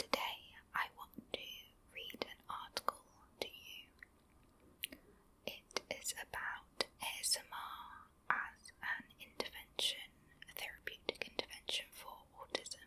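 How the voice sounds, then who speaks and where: Whispering comes at a fairly slow pace with long, frequent pauses. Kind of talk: ASMR article reading, whispered. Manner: whispered, soft, calming.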